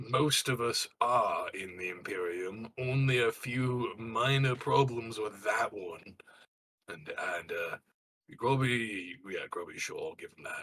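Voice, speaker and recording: Using a put-on character voice, a raspy man speaks fairly slowly at a medium pitch, his loudness swinging widely. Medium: actual play. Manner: gruff, blunt.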